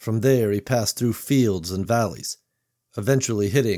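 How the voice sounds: Quiet background behind a natural reading voice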